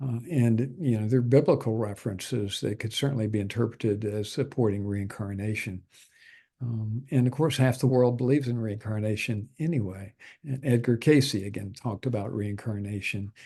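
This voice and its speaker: Against a quiet background, a man speaks at a medium pitch with a dark, mellow, somewhat breathy tone and ordinary pitch variation. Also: moderate pace. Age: 70s. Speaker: natural health doctor and healer. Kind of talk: interview. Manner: hesitant, many fillers.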